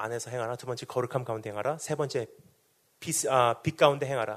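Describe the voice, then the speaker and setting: This man talks fairly quickly, and his pitch varies in an ordinary way. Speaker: missionary preacher. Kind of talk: sermon. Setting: revival meeting in hall with congregation. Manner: fast.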